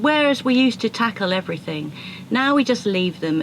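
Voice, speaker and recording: Lively intonation carries an English accent over noticeable background noise. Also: woman. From South London. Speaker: sailing vlogger. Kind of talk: casual chat.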